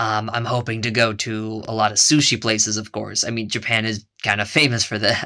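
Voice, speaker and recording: The man's tone is bright and sharp. He speaks at a moderate pace. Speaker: travel vlogger. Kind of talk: casual vlog. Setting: capsule hotel. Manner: hesitant, filler-heavy; quiet, hushed.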